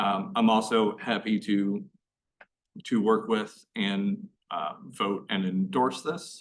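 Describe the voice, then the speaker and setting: A man talks with monotone, flat intonation. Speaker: school board member. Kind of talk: public meeting discussion.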